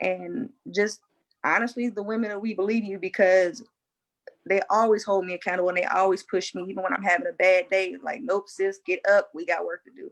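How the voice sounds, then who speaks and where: A woman with a normal speaking voice talks at a fairly quick pace, her medium pitch held in fairly even intonation. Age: 30s. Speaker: military service member and panel guest. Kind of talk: casual panel discussion.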